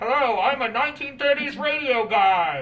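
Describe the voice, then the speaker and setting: The voice is a put-on character voice that sounds female. Its pitch is high for a woman. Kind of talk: 1930s radio announcer style. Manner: theatrical, mimicking an old broadcast voice.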